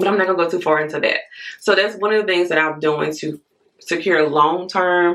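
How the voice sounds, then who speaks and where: In an American accent, a woman speaks with fairly low pitch. Her pace is fairly quick. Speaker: YouTuber. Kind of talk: casual vlog talk.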